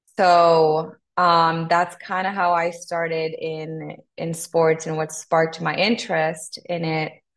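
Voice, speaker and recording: Speaking in a Spanish accent at a very slow pace, a woman with a fairly low pitch keeps a monotone, flat intonation. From Honduras. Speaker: sports team content manager. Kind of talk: podcast interview.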